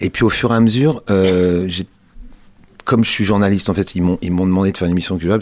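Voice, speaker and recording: Speaking at a very fast pace, the man has a very deep, low voice. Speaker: culture journalist and volunteer radio host. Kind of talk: radio interview. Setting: radio studio. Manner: soft, calm; hesitant.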